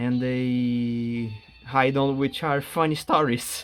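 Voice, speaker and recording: A man with a Portuguese accent speaks at medium pitch in a monotone, flat voice, with music in the background. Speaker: gaming YouTuber. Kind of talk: casual gameplay commentary. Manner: halting.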